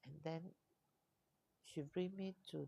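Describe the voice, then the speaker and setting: A soft-spoken woman with a Malaysian accent talks at a very slow pace. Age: 60s. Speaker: life coach. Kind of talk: live stream talk. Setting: co-working space.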